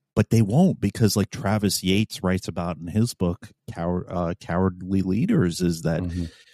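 A man's very deep, low voice with an American accent and ordinary pitch variation, over a quiet background. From New York City. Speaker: podcast host, police officer. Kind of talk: casual chat.

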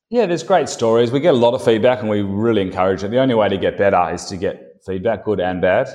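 A man with an Australian accent at a very fast pace, medium pitch, lively intonation and hardly any pauses. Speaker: company founder and CEO. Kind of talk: interview.

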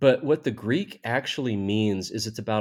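A man with a normal speaking voice speaks in an American accent at a fairly low pitch. His pace is moderate, his pitch variation is ordinary, and the recording is very clean with a silent background. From US South. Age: 50s. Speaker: theologian and professor. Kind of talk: interview.

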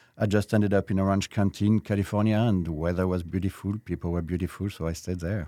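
With a French accent, a man speaks at a very fast pace with hardly any pauses, in a very deep, low voice and a monotone, flat intonation. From France (Versailles). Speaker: restaurateur. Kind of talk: interview.

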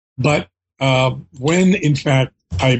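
A somewhat breathy man's voice with an American accent. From US, Philadelphia. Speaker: history professor. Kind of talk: interview.

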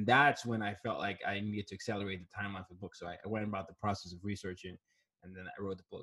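A man's fairly low, somewhat breathy voice. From Nigeria, raised in several countries. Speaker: diversity consultant and author. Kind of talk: interview. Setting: video call.

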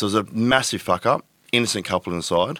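The speaker is a man with an Australian accent. He moves along at a fairly quick pace. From Tweed Heads, New South Wales, Australia. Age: 30s. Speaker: adult content creator. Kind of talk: casual interview.

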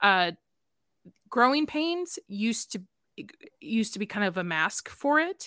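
A woman's fairly high, bright, sharp voice with an American accent, fairly slow with long, frequent pauses and very wide pitch swings, on a very clean recording with a silent background. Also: dry, close sound with no echo. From Chicago, South Side. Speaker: podcast guest. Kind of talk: casual chat.

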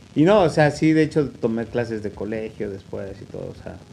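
A man with a Mexican accent talks with ordinary pitch variation. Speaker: podcast host. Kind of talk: casual chat.

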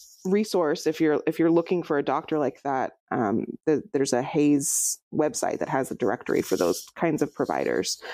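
A woman with a very deep, low pitch and a dark, mellow tone with vocal fry speaks at a moderate pace and very even loudness in a very clean recording with a silent background. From Central California, near Fresno. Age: 30s. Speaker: chiropractor and climber. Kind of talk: casual interview.

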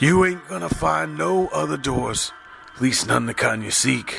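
Doing a put-on character voice, a man speaks raspy at a medium pitch and moderate pace, with clear background noise. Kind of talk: rough, ungrammatical. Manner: grunting, gritted teeth.

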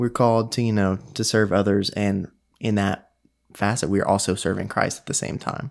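This man has an ordinary speaking voice, pitched fairly low, with fairly even intonation. He speaks at a moderate pace on a very clean recording with a silent background. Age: 20s. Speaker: recent college graduate, podcast guest. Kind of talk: casual faith discussion.

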